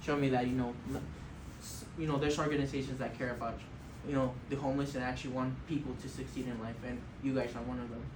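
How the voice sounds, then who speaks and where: A man rattles along at a very fast pace in a medium pitch with monotone, flat intonation, with audible room echo and noticeable background noise. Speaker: formerly homeless student. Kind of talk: board Q&A testimony. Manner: hesitant, many fillers.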